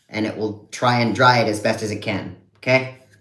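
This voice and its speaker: There's audible room echo as a man with a medium-pitched voice talks at a moderate pace with fairly even intonation. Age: 30s. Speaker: content creator. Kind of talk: live stream unboxing. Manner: casual.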